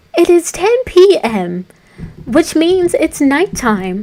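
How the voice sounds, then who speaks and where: The speaker does a strained, put-on character voice at a fairly slow pace. The pitch swings very widely. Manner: cartoonish but toned down, strained.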